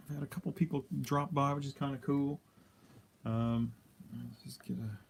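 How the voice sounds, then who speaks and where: This man's voice sits fairly high in pitch and is somewhat breathy. His loudness swings widely while his pitch varies in an ordinary way. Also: moderate pace. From Canada, Alberta. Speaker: miniature painter streamer. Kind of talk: casual live stream tutorial. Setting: live stream. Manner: casual, hesitant with fillers.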